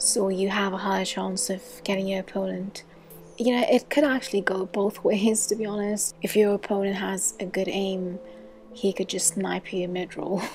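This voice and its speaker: A soft-spoken woman whispering at a fairly slow pace amid noticeable background noise. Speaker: gaming youtuber. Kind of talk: tutorial. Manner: whispery.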